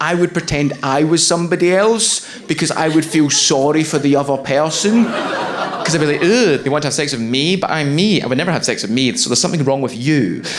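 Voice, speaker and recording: A man with a Scottish accent talks at a fairly quick pace in a fairly high voice with lively intonation. Noticeable background noise and audible room echo come through. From Scotland. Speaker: stand-up comedian. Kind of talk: stand-up. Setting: stage with audience.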